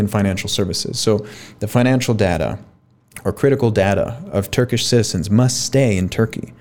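Speaking at a fairly quick pace with an American accent, a man uses an ordinary speaking voice, fairly low in pitch with ordinary pitch variation. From US, Miami, Florida. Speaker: fintech founder and CEO. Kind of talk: interview conversation.

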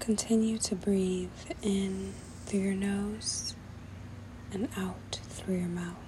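Over noticeable background noise, a soothing, calm voice moves at a very slow pace with long, frequent pauses. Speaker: podcast host. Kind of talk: guided meditation. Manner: slow, soothing, calm and gentle with long pauses; repetitive, directive and reassuring.

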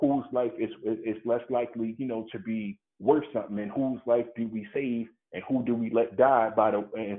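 A man with a plain, everyday voice and an American accent, at a moderate pace. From Baltimore, Maryland, US. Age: 30s. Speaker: community organizer and student. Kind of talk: interview, political commentary. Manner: formal.

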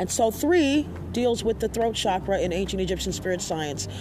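Over noticeable background noise, a woman speaks at a fairly quick pace in a medium-pitched voice that swings very widely in pitch. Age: 50s. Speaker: spiritual podcast host and astrology reader. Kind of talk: casual interview and spiritual teaching.

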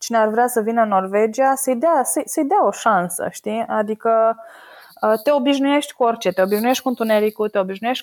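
This is a plain, everyday voice with ordinary pitch variation. It keeps a moderate pace. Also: woman. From Romania, Săcele near Brașov. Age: 30s. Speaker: oil market analyst. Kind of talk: casual interview.

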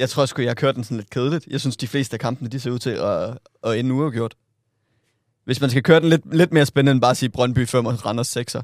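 A man with a medium pitch rattles along at a very fast pace with fairly even intonation, the sound dry and close with no echo. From Southern Jutland, Denmark. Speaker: podcast co-host. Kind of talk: casual chat.

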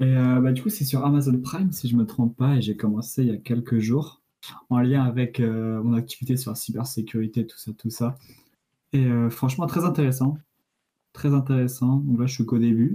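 A man's dark, mellow, somewhat breathy voice, with ordinary pitch variation and long, frequent pauses. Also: medium pitch for a man, moderate pace. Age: 20s. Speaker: engineering student. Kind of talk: casual chat.

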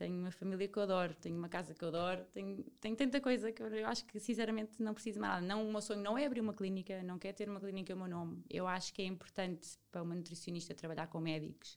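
A woman at a medium pitch, very fast, with ordinary pitch variation. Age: 30s. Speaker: nutritionist. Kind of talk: casual interview chat.

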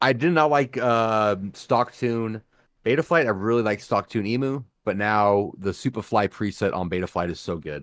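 In a very clean recording with a silent background, a plain, everyday voice speaks at a moderate pace with lively intonation. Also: man, fairly low pitch for a man. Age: 40s. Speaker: drone hobby podcast co-host. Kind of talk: casual live-stream chat.

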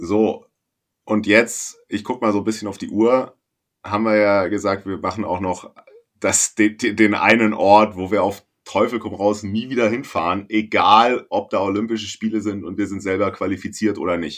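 The recording is very clean, with a silent background. A man with a fairly low pitch speaks at a moderate pace in monotone, flat intonation. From northern Germany. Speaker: sailing podcast co-host. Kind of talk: casual chat.

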